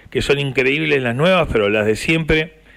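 A man talks at a medium pitch. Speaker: radio host. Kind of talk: radio interview.

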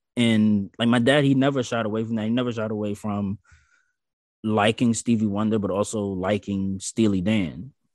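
A man with an American accent and an unremarkable speaking voice talks at a moderate pace, with a fairly low pitch and fairly even intonation, in a dry, close sound with no echo. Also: quiet background. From US South. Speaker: podcast guest. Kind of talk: casual chat.

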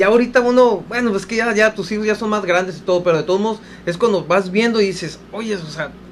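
This man's voice is high-pitched. He speaks at a moderate pace. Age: 40s. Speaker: radio co-host. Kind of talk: casual radio chat.

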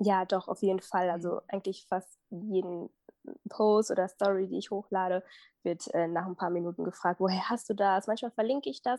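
In a dry, close recording with no echo and a quiet background, a woman speaks at a moderate pace and medium pitch, her tone dark and mellow and her intonation fairly even. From Germany, Minden area. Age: 20s. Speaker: fashion blogger and visual merchandiser. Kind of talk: casual interview. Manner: hesitant, many fillers.

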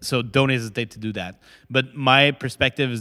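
A man speaks with a Quebec accent at a moderate pace. The recording is very clean, with a silent background. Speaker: startup founder. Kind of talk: interview. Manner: halting.

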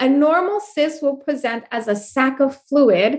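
Loud and lively in her intonation, a woman talks at a fairly slow pace with a high pitch. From New York, Puerto Rican family. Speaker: life coach and speaker. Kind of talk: casual interview.

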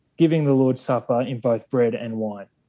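A man with a strong Australian accent speaks in a dark, mellow tone. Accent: broad Australian. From Australia, Sydney. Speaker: Anglican clergyman or theologian. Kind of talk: academic discussion. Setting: remote call.

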